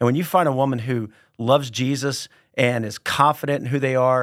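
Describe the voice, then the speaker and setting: Spoken at a moderate pace in a plain, everyday voice, the recording is very clean, with a silent background and a dry, close sound with no echo. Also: man. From Texas, San Antonio. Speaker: pastor. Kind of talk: casual chat.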